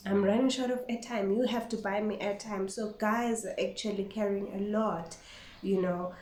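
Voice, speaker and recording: Someone with a non-native accent speaks at a moderate pace with fairly even intonation, amid audible room echo and noticeable background noise. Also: woman, medium pitch for a woman. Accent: non-native English, self-described. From Eswatini (Swati-speaking). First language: Siswati. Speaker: vlogger. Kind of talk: casual vlog monologue. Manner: code-switching with Siswati.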